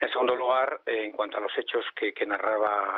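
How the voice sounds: With fairly even intonation at a fairly quick pace, a man talks in a fairly low voice, the sound dry and close with no echo.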